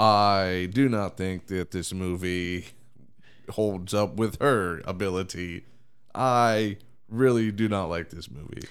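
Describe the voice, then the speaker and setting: A man's fairly low voice at a very slow pace. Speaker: movie podcast host. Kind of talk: casual chat. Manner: halting.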